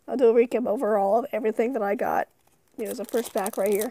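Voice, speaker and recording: A woman speaks quietly and fairly quickly at a fairly high pitch, her intonation fairly even, in a dry, close sound with no echo. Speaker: YouTuber opening card packs. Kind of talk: casual unboxing commentary.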